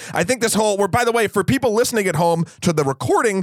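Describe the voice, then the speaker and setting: Music plays in the background behind a man with an American accent. His pitch varies in an ordinary way, and the sound is dry and close with no echo. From New Hampshire, US. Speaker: podcast host, film reviewer. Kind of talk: casual chat.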